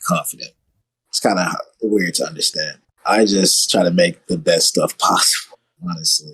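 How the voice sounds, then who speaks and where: Speaking at a moderate pace with an American accent, a man leaves long, frequent pauses. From US South, Arkansas (Little Rock). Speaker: electronic music artist. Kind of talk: casual chat.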